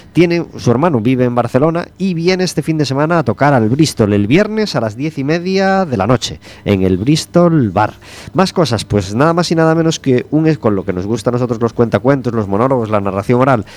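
A man's medium-pitched voice at a fairly quick pace, full of very wide pitch swings. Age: 40s. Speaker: radio host. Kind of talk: radio magazine chat.

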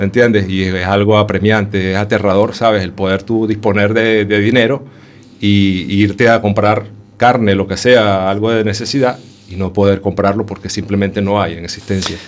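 The man's pitch is fairly low and his intonation monotone and flat. He keeps a moderate pace against noticeable background noise. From Venezuela, Caracas. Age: 40s. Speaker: homeless shelter resident. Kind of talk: radio interview. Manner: halting.

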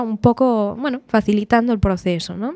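The sound is dry and close with no echo. It carries a normal speaking voice at a moderate pace. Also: woman, very clean recording, silent background. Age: 20s. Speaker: pianist and music teacher. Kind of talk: radio interview.

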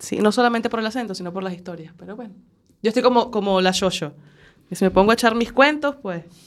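A woman with a Venezuelan accent talks at a very fast pace in a fairly high pitch. Her pitch variation is ordinary, while her loudness swings widely. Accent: Venezuelan, noticeable. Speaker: radio panelist. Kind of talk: casual chat.

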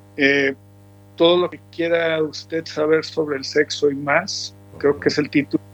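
Fairly slow speech from a man with a fairly high pitch and ordinary pitch variation, plus noticeable background noise. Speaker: musician. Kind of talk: interview.

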